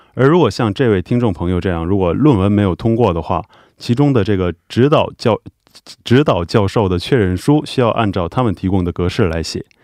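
A man's fairly low-pitched, plain, everyday voice, with lively intonation and a fairly quick pace, in a dry, close sound with no echo over a quiet background. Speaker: immigration visa adviser. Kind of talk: Q&A explanation.

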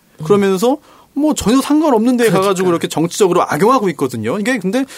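With very wide pitch swings, a man talks at a high pitch. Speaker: lawyer, stand-in host. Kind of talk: casual political chat.

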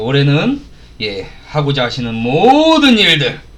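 A man speaks in a raised, projected voice at a very slow pace, his pitch swinging very widely. Noticeable background noise sits behind him. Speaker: radio host. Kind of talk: casual radio chat. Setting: studio. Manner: animated, joking.

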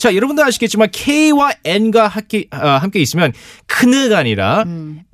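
Recorded dry and close with no echo, a man speaks in a high pitch with very wide pitch swings. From South Korea, Gyeonggi (Gwangju), emigrated to the US. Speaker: English teacher. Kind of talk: radio English lesson.

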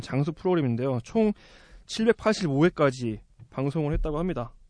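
Against a quiet background, the delivery is fairly slow with lively intonation. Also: man. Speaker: podcast host. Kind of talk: casual chat.

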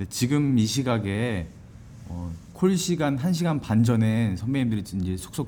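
A man speaks at a medium pitch, somewhat breathy, with a dark, mellow tone and audible room echo. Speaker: podcast host and stage actor. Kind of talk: interview. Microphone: single shared mic, recorded too quiet.

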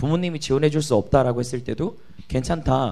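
A man's voice with a dark, mellow tone. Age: 20s. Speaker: startup founder and author. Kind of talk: interview.

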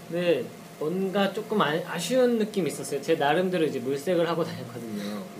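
A man's voice moves through very wide pitch swings. Noticeable background noise runs underneath. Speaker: band drummer. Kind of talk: casual radio chat.

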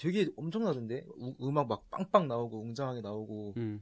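With a normal speaking voice, a man talks at a fairly slow pace with a medium pitch and lively intonation. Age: 20s. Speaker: guest, public service worker. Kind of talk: casual chat.

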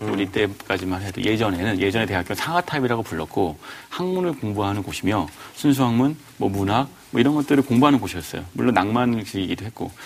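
Over noticeable background noise, a man talks very fast with lively intonation. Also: fairly low pitch for a man. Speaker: book club panelist. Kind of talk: casual discussion.

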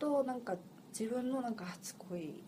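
A woman with lively intonation talks at a moderate pace, with noticeable background noise and audible room echo present. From Seoul, South Korea. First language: Korean (speaking Japanese). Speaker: podcast co-host. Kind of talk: casual chat.

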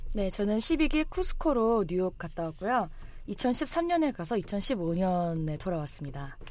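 Speaking at a very slow pace, a woman of medium pitch moves through very wide pitch swings. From South Korea. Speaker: program graduate. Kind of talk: casual chat. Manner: animated.

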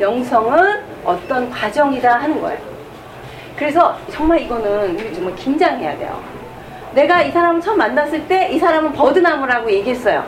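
Over noticeable background noise and audible room echo, a woman speaks at a moderate pace. Her high voice swings very widely in pitch. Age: 50s. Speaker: nun and author. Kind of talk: lecture. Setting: stage with audience.

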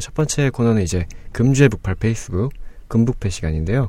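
A man's voice comes across somewhat breathy, with a dark, mellow tone. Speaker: podcast host. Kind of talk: casual chat. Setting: studio.

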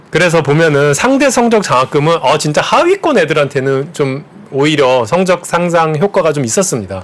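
A man with a fairly high pitch talks at a moderate pace with hardly any pauses and very even loudness. His intonation is lively, and noticeable background noise is present. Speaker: economics professor. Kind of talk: interview. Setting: studio. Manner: gentle.

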